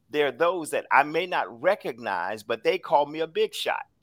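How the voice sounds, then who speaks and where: A man speaks with vocal fry at a fairly high pitch. The very clean recording has a silent background and a dry, close sound with no echo. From US South. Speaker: podcast co-host, motivational speaker. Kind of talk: casual motivational chat.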